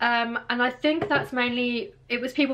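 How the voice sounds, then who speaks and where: A woman speaks with a British accent. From England. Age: 20s. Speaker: vlogger. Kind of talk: casual talk to camera. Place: home room. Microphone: phone near.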